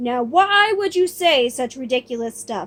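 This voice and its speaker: A woman's put-on character voice, gruff and growling, high-pitched, at a moderate pace. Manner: indignant, challenging.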